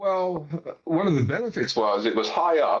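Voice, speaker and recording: In an American accent, a man with a high-pitched voice talks at a very slow pace, his pitch swinging very widely. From US Northeast, Pennsylvania near Philadelphia. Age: 60s. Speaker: gardening video maker. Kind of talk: casual interview chat. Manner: halting, many fillers.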